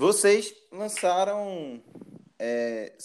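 A man is speaking. His intonation is lively. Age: 20s. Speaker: podcast host. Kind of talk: casual interview chat.

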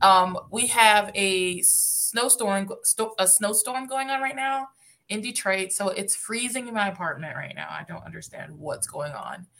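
With an unremarkable speaking voice, a woman of medium pitch talks at a fairly slow pace with hardly any pauses, lively intonation and big swings in loudness. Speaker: podcast host. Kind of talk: casual chat.

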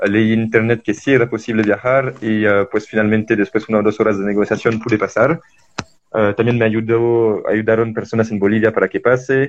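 A man at a fairly quick pace, flat and monotone in intonation, with very even loudness. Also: medium pitch for a man. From France. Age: 20s. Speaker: traveler and environmental volunteer. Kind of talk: interview. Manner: halting.

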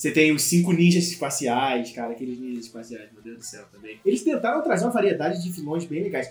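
Lively in intonation, a man talks fairly quickly amid noticeable background noise. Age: 20s. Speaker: podcast co-host. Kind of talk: casual chat.

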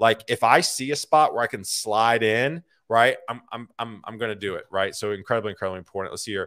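An animated man with a bright, sharp tone at a fairly quick pace, hardly any pauses and big swings in loudness, dry and close with no echo on a very clean recording over a silent background. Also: medium pitch for a man, ordinary pitch variation. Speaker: career podcast host. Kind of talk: solo livestream talk to viewers. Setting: live video stream. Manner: fast.

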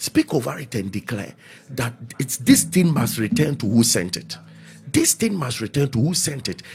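Vocal fry colors a man's medium-pitched voice as he speaks at a moderate pace. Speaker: pastor leading prayer broadcast. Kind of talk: prayer meeting preaching. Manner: loud, fervent and repetitive.

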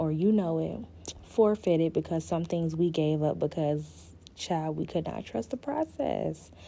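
A woman speaks at a fairly slow pace with a Southern US accent. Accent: Southern American English. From US South, Florida Panhandle (Panama City). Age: 20s. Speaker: podcast host. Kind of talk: casual solo podcast chat. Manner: animated.

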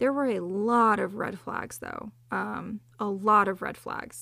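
Recorded very cleanly against a silent background, a woman with an ordinary speaking voice, fairly high in pitch, speaks with fairly even intonation. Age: 20s. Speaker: podcast host. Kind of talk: personal storytelling monologue. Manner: casual, with frequent fillers.

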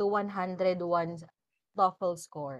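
With a Filipino accent, a woman speaks at a medium pitch in a dry, close recording with no echo. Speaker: podcast host. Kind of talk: casual interview chat. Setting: indoors at home.

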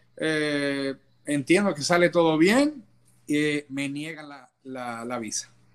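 A man speaks with a fairly high pitch. His loudness swings widely. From Dominican Republic. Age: 30s. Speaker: immigrant, business administrator. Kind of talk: interview. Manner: hesitant, many fillers.

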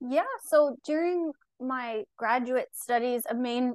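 Recorded dry and close with no echo, a woman speaks with a high pitch in an American accent. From Long Island, New York. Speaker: registered dietitian. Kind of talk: casual interview chat.

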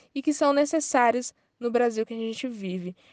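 A woman's normal speaking voice, fairly high in pitch and fairly quick, with a dry, close sound, no echo and a quiet background. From Ceará, Brazil. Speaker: journalist and researcher. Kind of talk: interview answers.

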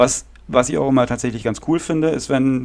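A normal speaking voice from a man, fairly quick in pace, with ordinary pitch variation. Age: 30s. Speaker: podcast host and punk drummer. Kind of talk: casual chat.

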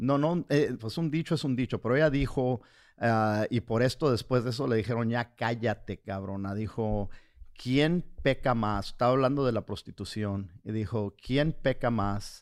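At a fairly slow pace, a man talks at medium pitch with ordinary pitch variation, on a very clean recording with a silent background. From US, raised by Mexican parents. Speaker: comedian and podcast co-host. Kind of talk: casual chat. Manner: halting, repeats words.

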